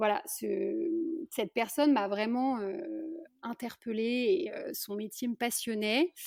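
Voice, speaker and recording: Recorded dry and close with no echo, a woman speaks. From France, Lyon. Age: 30s. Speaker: midwife. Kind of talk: interview. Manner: halting, many hesitations.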